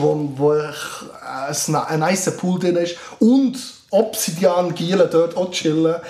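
There is noticeable background noise. An audible room echo is also present. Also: man. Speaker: scout leader. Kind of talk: casual chat. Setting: studio.

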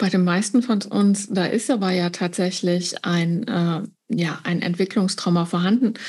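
In a quiet background, a woman of medium pitch speaks somewhat breathily at a fairly slow pace, her intonation fairly even. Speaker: trauma therapist. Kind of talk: interview.

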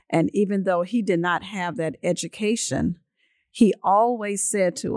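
Over a silent background in a very clean recording, a woman with a South Carolina accent speaks at a fairly slow pace and medium pitch, with ordinary pitch variation and a dry, close sound with no echo. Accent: Southern US (South Carolina). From US South, Lake City, South Carolina. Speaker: school superintendent. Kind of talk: interview. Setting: on site at education center.

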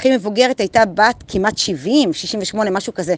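The speaker uses lively intonation and an animated tone. The sound is dry and close, with no echo. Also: woman. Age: 40s. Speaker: motivational group leader. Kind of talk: daily motivational monologue. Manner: casual, animated.

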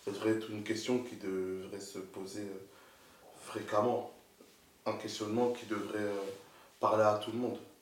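Pitched fairly low, a man speaks at a moderate pace in a flat monotone, with audible room echo and noticeable background noise. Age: 20s. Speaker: entrepreneur. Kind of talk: casual chat.

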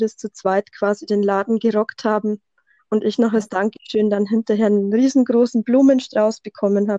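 Speaking with a Bavarian accent, a woman uses a fairly high pitch and fairly even intonation at a moderate pace, in a dry, close sound with no echo. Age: 30s. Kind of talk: casual interview. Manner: tries to avoid monotone.

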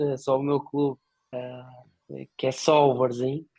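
Flat, monotone intonation from a man, his voice pitched fairly high. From northern Portugal, Póvoa de Varzim. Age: 30s. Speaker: football club supporter, executive recruitment consultant. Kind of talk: casual chat.

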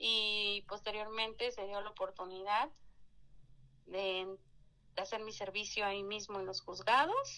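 A woman speaks at a fairly slow pace with long, frequent pauses. Her medium-pitched voice keeps a fairly even intonation. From Mexico, Hidalgo. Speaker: judge. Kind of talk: interview.

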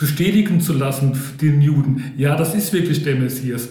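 Audible room echo fills the space. Within it, a man talks. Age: 50s. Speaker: parish volunteer. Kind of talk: casual discussion.

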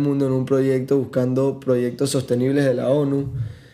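In a monotone, flat delivery, a man speaks at medium pitch with a dark, mellow tone and audible room echo. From Panama. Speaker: tourism entrepreneur. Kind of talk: casual chat.

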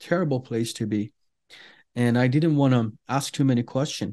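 Against a quiet background, a man with an Iranian accent talks at a moderate pace and medium pitch, his intonation fairly even and his tone dark and mellow. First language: Farsi. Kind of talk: interview telling personal testimony. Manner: halting, many fillers.

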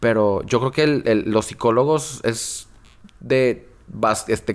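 Here a man speaks at a very slow pace and a medium pitch. The recording is very clean, with a silent background. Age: 30s. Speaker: magazine director. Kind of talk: casual chat. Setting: studio.

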